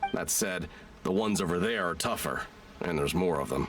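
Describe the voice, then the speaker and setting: Over clear background noise, a man puts on a raspy character voice with a very deep, low pitch, talking at a fairly quick pace. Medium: video game. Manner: blunt, eager.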